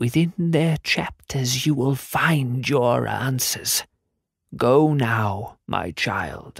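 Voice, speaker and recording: A man puts on a character voice at medium pitch, speaking at a very slow pace. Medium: read story. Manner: solemn, cryptic.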